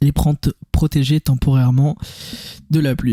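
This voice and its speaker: A man with a medium-pitched, calm voice speaks in a flat monotone, the sound dry and close with no echo, as music plays in the background. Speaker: gaming youtuber. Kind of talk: gameplay commentary. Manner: casual.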